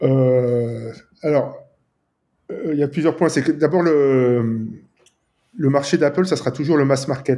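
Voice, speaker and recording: A man with a dark, mellow tone and a fairly high pitch talks at a very slow pace, with very even loudness, ordinary pitch variation, and long, frequent pauses. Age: 50s. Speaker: app developer. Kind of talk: casual interview.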